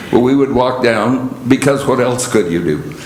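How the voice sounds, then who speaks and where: A man's voice with lively intonation, noticeable background noise, and audible room echo. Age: 80s+. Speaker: lay speaker. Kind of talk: sermon. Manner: halting.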